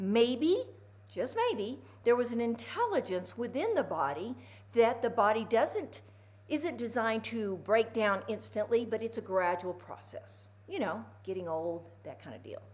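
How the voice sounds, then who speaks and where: A woman talks at a fairly slow pace, her loudness swinging widely. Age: 60s. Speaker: physical therapist. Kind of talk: casual instructional talk to camera. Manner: animated.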